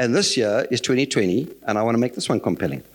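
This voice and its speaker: A man speaks at a fairly quick pace. His voice carries vocal fry. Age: 60s. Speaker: lay preacher. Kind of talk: sermon.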